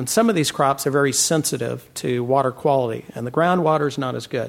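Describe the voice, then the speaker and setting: A man with an unremarkable speaking voice, an American accent, fairly high pitch and ordinary pitch variation, on a very clean recording with a silent background. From California Central Valley. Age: 50s. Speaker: farmer. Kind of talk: panel discussion.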